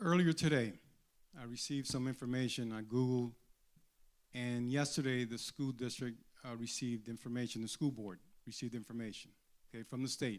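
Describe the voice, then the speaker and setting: A man with an American accent, medium pitch and fairly even intonation, at a fairly quick pace with long, frequent pauses. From New York City, raised after early childhood in Dominican Republic. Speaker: superintendent candidate, attorney. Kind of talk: candidate forum statement.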